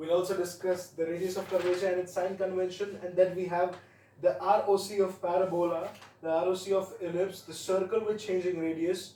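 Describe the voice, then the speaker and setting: A man with an Indian accent speaks at a moderate pace in a high pitch. His dark, mellow tone is delivered with monotone, flat intonation. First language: Hindi. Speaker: math tutor. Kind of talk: tutorial. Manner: halting. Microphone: quiet, voice not very audible.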